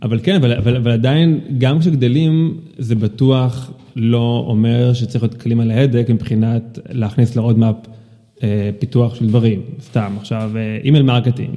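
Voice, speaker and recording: A man speaks in an ordinary speaking voice at medium pitch and moderate pace. His loudness is very even and his intonation fairly even. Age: 30s. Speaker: product executive. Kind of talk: casual interview. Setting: home studio.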